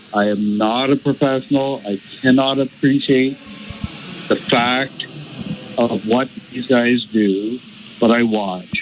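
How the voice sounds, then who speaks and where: A man with a Canadian accent, medium pitch, very slow delivery, fairly even intonation and long, frequent pauses, with noticeable background noise. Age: 60s. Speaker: caller. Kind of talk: radio call-in. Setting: phone call.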